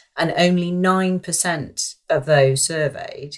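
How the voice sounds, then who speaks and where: A woman's somewhat breathy voice is heard in a very clean recording with a silent background. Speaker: actress and campaigner. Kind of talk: casual chat.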